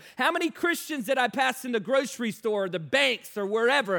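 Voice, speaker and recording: A man speaks in a raised, projected voice with lively intonation. The recording is very clean, with a silent background. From Virginia, US. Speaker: evangelist. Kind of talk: sermon.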